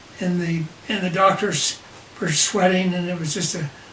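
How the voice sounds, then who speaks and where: A man with an American accent speaks at a moderate pace in a high voice. Room echo is audible, and background noise is noticeable. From Utah, Salt Lake City. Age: 80s+. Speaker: grandfather telling life story. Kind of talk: family storytelling. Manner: halting.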